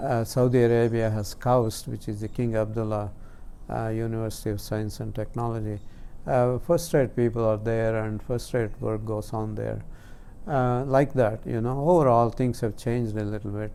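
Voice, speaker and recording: A man with a dark, mellow tone talks in a room whose echo can be heard. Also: medium pitch for a man, fairly even intonation, moderate pace. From India, Karnataka. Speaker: scientist. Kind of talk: interview. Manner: halting.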